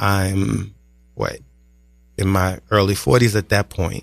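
A man's fairly low, monotone voice with flat intonation and a New York accent, at a fairly slow pace, on a very clean recording with a silent background. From New York (Brooklyn), Guyanese parents. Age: 40s. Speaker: personal trainer and army veteran. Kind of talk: casual interview.

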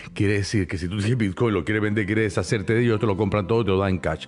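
Very fast male speech at a fairly low pitch, with ordinary pitch variation. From Cuba. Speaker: podcaster and stage performer. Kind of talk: casual chat. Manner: animated.

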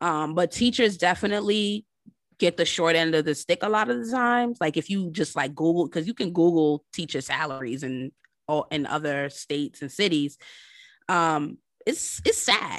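In an American accent, a woman with an ordinary speaking voice talks at a moderate pace and a fairly low pitch with lively intonation, the sound dry and close with no echo and the background quiet. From New York City. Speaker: high school English teacher and author. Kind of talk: casual chat.

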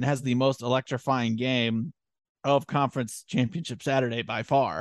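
Recorded dry and close with no echo over a quiet background, a plain, everyday voice speaks with fairly even intonation. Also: man. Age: 20s. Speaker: college sports podcast host. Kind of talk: casual chat.

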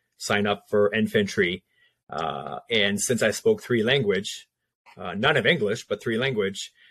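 Fairly low and fairly slow, a man's voice shows ordinary pitch variation in a dry, close recording with no echo and a quiet background. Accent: French. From Quebec, French Canada. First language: French. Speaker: veteran and former police officer. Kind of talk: casual interview.

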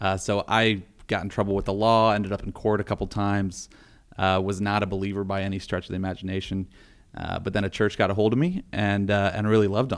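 A man with an American accent talks at a very fast pace in a fairly low voice with monotone, flat intonation. The recording is very clean, with a silent background. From northeast Ohio (Warren). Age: 30s. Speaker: advocacy group president. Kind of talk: interview.

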